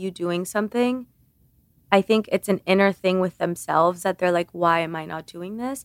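In a very clean recording with a silent background and a dry, close sound with no echo, a woman talks at a moderate pace and medium pitch in a normal speaking voice. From Cuba (Havana), moved to US at six. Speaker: beauty content creator. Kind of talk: casual interview chat.

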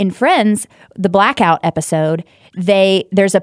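With an American accent, a woman speaks at a medium pitch with ordinary pitch variation, in a dry, close sound with no echo and a very clean recording with a silent background. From Texas. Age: 30s. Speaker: tribute singer. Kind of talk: casual chat. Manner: emotional, animated.

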